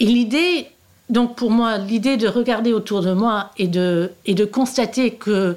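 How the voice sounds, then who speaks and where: A woman speaks very slowly in a fairly high pitch. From Australia and Canada, born in the US. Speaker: novelist. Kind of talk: interview. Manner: halting, many repetitions and hesitations.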